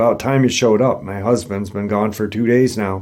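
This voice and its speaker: Putting on a character voice, a man talks at a fairly quick pace in a raspy, fairly low-pitched voice. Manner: rude, curt.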